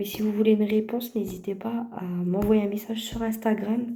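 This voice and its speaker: A woman speaks at a moderate pace in a fairly high pitch with fairly even intonation. There is audible room echo. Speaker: vlogger and mother. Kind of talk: casual vlog address to viewers.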